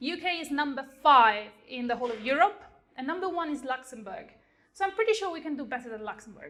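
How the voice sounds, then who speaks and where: Speaking at a very fast pace in an Italian accent, a woman uses a high, bright, sharp voice with very wide pitch swings and big swings in loudness. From Italy. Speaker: software engineer. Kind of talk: lightning talk. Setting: stage with audience.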